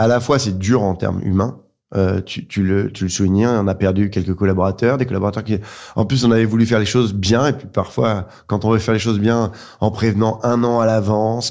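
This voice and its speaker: A man's dark, mellow voice at a fairly low pitch, with fairly even intonation, on a very clean recording with a silent background. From France, grew up in Dijon, Lyon, Reims. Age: 30s. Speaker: entrepreneur, clothing brand co-founder. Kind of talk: interview. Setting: in person at host's place.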